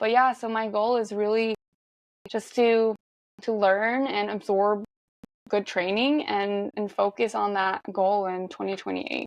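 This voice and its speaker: Speaking with a Norwegian accent, a woman of medium pitch talks at a fairly slow pace with fairly even intonation. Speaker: marathon runner. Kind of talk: podcast interview.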